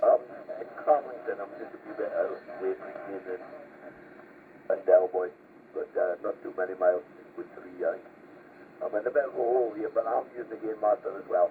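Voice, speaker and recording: Fairly quick speech with a Geordie accent, long, frequent pauses, and noticeable background noise. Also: man. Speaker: CB radio operator. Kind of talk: casual radio chat. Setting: CB radio.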